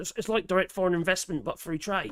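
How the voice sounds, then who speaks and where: A man with a strong Norfolk accent at a fairly quick pace. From Norfolk, eastern England. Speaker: political commentary livestreamer. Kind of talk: livestream chat reading viewer comments. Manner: halting, many fillers and restarts; casual, profane.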